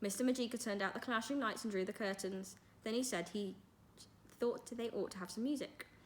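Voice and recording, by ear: Reading aloud in a natural voice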